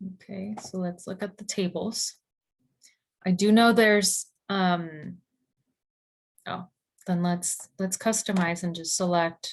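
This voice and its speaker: The delivery is very slow, with long, frequent pauses. It sounds somewhat breathy, with monotone, flat intonation. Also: woman, medium pitch for a woman. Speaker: government data specialist. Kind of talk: webinar presentation. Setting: video call. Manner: halting.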